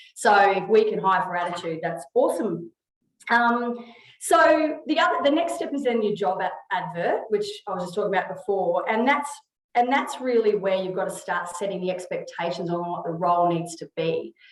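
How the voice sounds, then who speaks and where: A woman's medium-pitched voice with an Australian accent, very wide pitch swings, and audible room echo. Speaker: HR consultant. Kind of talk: webinar presentation. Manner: fast.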